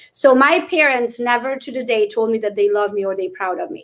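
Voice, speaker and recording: A woman's fairly high-pitched voice with a non-native accent, ordinary pitch variation and a fairly quick pace. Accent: noticeable foreign. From Transylvania, Romania (Hungarian). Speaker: real estate agent. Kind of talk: interview. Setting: livestream.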